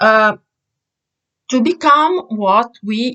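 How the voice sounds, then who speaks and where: A woman's very slow, lively speech, fairly high and bright, sharp in tone, with an Italian accent and a dry, close sound with no echo. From Italy. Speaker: vlogger. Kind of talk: opinion monologue. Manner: halting, many fillers.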